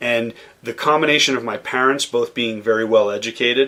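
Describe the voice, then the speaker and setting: Noticeable background noise sits behind a man speaking at a moderate pace in a medium pitch. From US Northeast, Boston suburbs (Massachusetts). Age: 40s. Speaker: chef and caterer. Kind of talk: interview conversation.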